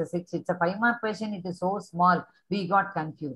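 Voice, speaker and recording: Against a quiet background, a woman talks at a moderate pace in a somewhat breathy voice with ordinary pitch variation. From India. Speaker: teacher trainer for business studies teachers. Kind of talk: teacher training session. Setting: video call. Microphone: webcam.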